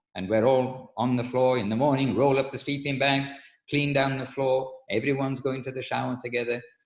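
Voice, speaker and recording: Amid audible room echo, a man speaks at a fairly quick pace with monotone, flat intonation. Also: medium pitch for a man. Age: 60s. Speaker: spiritual teacher. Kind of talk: religious lecture. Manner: halting.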